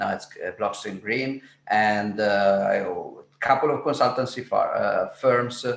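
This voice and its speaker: The voice has an Italian accent and a fairly slow pace. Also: man. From Italy. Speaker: Bitcoin entrepreneur and educator. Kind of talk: interview. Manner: halting.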